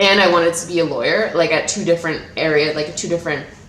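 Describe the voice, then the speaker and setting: Over noticeable background noise and audible room echo, a woman speaks at a very fast pace. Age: 20s. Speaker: YouTuber. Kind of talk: casual vlog talk. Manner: babbling.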